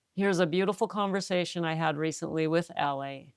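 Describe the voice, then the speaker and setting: Recorded very cleanly over a silent background, a woman speaks with a North American accent and ordinary pitch variation. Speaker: sobriety coach and podcast host. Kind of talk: podcast interview. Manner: animated.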